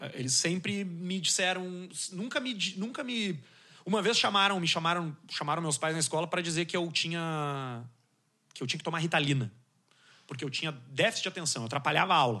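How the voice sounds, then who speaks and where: Fairly quick and lively in intonation, a man with a high pitch and a bright, sharp tone speaks with long, frequent pauses. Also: quiet background. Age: 30s. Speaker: communicator, podcaster. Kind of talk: casual chat.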